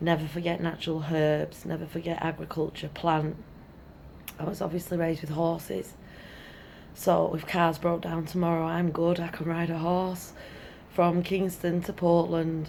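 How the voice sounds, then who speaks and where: A woman's fairly low, monotone, flat voice amid noticeable background noise and audible room echo. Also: moderate pace. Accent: Welsh. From Wales, Brecon Beacons; moved to England at about six. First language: Welsh. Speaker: teacher. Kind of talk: opinion monologue.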